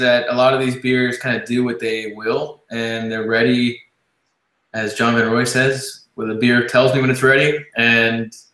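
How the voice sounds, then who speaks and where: This man's voice carries audible room echo. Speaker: interview host. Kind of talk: interview question.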